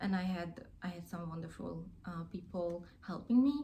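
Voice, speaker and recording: A woman's somewhat breathy, dark, mellow voice with a Hungarian accent, at a fairly slow pace with ordinary pitch variation and audible room echo. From Hungary. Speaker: crafting YouTuber. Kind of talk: casual vlog chat. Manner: hesitant, many fillers.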